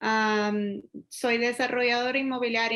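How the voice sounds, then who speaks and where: Speaking fairly slowly, the woman uses a fairly high pitch and ordinary pitch variation. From Brazil. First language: Portuguese (speaking Spanish). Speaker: real estate developer and lawyer. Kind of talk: webinar presentation.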